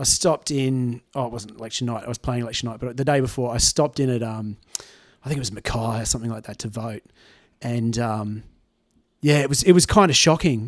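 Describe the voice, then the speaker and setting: At a fairly quick pace, a man with an Australian accent talks at a medium pitch with ordinary pitch variation and big swings in loudness. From Tamworth, New South Wales, Australia. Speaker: musician. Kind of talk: casual chat. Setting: at the guest's home.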